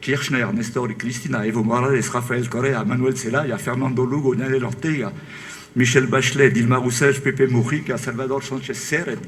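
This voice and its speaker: At a moderate pace, a man speaks with a medium pitch and fairly even intonation. Audible room echo and noticeable background noise are in the recording. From France. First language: French (speaking Spanish). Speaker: author. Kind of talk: book presentation talk.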